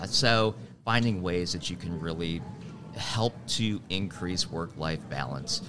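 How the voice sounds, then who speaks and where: With an American accent, a man talks at a fairly slow pace in a very deep, low pitch, amid noticeable background noise and audible room echo. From Wisconsin, Milwaukee. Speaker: HR coach. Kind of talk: interview. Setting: live at a conference.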